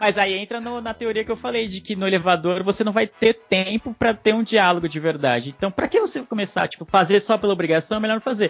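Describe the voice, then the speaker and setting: A man with a São Paulo accent, high-pitched, at a very fast pace with lively intonation and hardly any pauses, music in the background. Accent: paulistano Brazilian Portuguese. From São Paulo (East Zone), Brazil. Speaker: podcaster guest. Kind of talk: casual panel chat.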